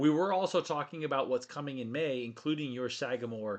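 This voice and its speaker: A man talks at a medium pitch, and the background stays quiet. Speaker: whiskey show host. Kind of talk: live stream casual chat. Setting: studio. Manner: fast.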